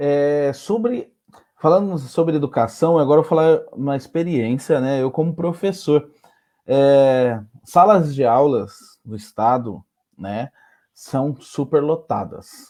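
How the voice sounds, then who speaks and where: Against a quiet background, a man speaks very slowly in a fairly high voice with a dark, mellow tone and lively intonation. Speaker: teacher, debate moderator. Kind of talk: panel discussion.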